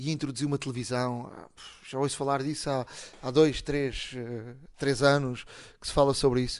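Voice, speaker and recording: At a moderate pace, a man with a fairly high pitch talks over a quiet background. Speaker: tech podcast host. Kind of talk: casual chat.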